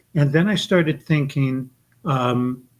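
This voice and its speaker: Fairly high in pitch and somewhat breathy, a man speaks at a fairly slow pace. His pitch variation is ordinary. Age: 70s. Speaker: author and esoteric librarian. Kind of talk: podcast interview.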